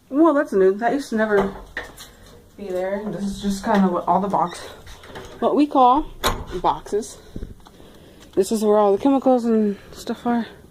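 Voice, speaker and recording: A woman's fairly high voice with long, frequent pauses over noticeable background noise. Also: ordinary pitch variation, moderate pace. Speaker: vlogger. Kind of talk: walking tour vlog.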